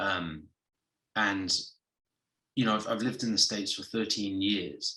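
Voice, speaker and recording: The tone is bright and sharp, with fairly even intonation at a moderate pace. Audible room echo surrounds the voice. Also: man, fairly low pitch for a man. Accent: English. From southwest England. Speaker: actor. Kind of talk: interview. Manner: hesitant, many fillers.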